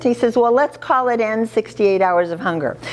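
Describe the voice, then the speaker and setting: A woman's animated tone and lively intonation, with noticeable background noise. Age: 70s. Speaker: charity founder. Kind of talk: speech to an audience.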